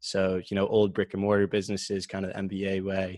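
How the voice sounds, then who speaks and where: With an American accent, a man speaks at a fairly low pitch in a very clean recording with a silent background and a dry, close sound with no echo. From Massachusetts. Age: 20s. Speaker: author and crypto venture worker. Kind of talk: casual interview.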